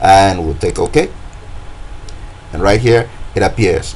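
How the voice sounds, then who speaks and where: Fairly low-pitched male voice with ordinary pitch variation over noticeable background noise. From West Africa. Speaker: design tutorial creator. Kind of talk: tutorial. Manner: casual, hesitant with many fillers.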